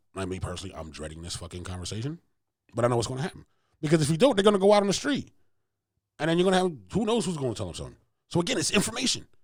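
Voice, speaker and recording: A man's fairly high voice, very fast, with vocal fry and very wide pitch swings. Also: long, frequent pauses, big swings in loudness. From Philadelphia, US. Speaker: podcast host. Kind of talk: casual chat. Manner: animated.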